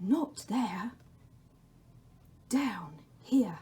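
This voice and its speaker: In a put-on character voice, a woman sounds creaky and fairly high in pitch, with very wide pitch swings. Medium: read story. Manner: slow, spare, beckoning.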